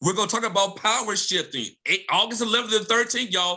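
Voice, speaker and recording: In an American accent, a man with a bright, sharp tone speaks in a raised, projected voice at a very fast pace. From Mississippi, US South. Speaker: professor. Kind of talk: panel discussion. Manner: animated.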